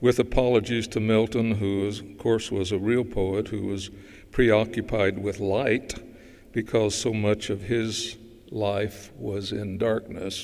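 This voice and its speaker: In a Southern US accent, a man talks at a fairly slow pace with a fairly low pitch and monotone, flat intonation. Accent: Southern US drawl. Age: 80s+. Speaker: dermatologist. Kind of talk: award acceptance speech. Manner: halting.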